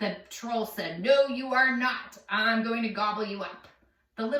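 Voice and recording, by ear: The passage is read aloud in a natural voice.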